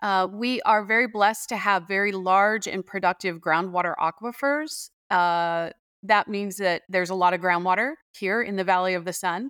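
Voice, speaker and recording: In a very clean recording with a silent background and a dry, close sound with no echo, a woman with an American accent talks at a moderate pace in a bright, sharp tone, her medium pitch showing ordinary pitch variation. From Arizona (Tempe). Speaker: water policy researcher and professor. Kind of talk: interview. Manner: hesitant with frequent fillers.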